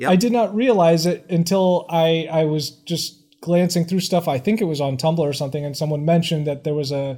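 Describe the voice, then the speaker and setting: The recording is very clean with a silent background. A man with a fairly high voice talks at a moderate pace with ordinary pitch variation. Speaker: podcast co-host. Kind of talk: casual chat.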